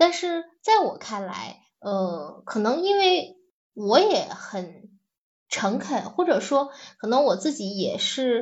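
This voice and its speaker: This woman's high voice swings very widely in pitch. She talks at a very slow pace. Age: 40s. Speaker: teacher turned manager. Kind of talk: personal reflection talk. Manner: halting, many fillers.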